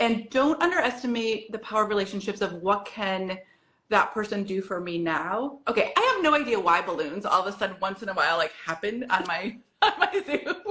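A woman with a plain, everyday voice talks at a fairly quick pace and medium pitch, with lively intonation. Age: 50s. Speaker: wellness coach. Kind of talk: casual interview chat.

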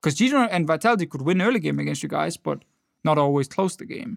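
A man with a Danish accent at a fairly quick pace, in a very clean recording with a silent background and a dry, close sound with no echo. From Denmark. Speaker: esports podcast co-host and analyst. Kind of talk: casual chat.

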